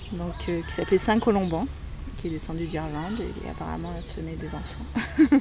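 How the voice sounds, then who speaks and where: A woman at a moderate pace with big swings in loudness, audible room echo and noticeable background noise. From France. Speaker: neighbourhood resident. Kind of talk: testimony.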